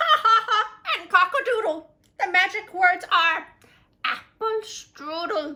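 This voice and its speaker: A woman puts on a character voice pitched extremely high. She talks at a fairly slow pace. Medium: read story.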